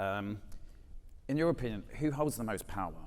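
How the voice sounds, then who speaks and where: Audible room echo surrounds a man speaking with a British accent. His intonation is lively. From Britain. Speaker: panel moderator. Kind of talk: moderated panel discussion. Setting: stage with audience.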